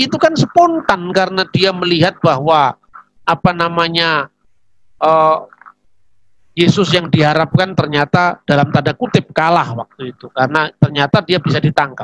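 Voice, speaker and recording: A high-pitched man's voice comes through with a dry, close sound and no echo. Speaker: theologian. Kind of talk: religious teaching talk. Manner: conversational, with fillers.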